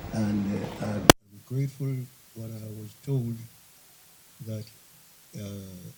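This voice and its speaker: The voice is somewhat breathy, with fairly even intonation at a fairly slow pace. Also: man. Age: 90s. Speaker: bishop. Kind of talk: sermon. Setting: church convention.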